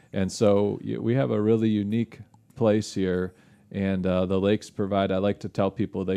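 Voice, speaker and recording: With a Michigan accent, a man talks at a moderate pace in a fairly low, monotone, flat voice, with a dry, close sound with no echo and a quiet background. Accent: Midwestern American (Michigan). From western Michigan (Holland). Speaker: lake research scientist. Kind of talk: casual interview. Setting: studio.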